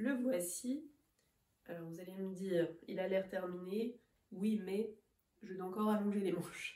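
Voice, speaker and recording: The tone is dark and mellow, and the pace is fairly slow. Pitch moves with ordinary variation. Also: woman. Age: 30s. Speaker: knitting podcaster. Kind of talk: casual vlog chat. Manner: hesitant, frequent 'euh' fillers.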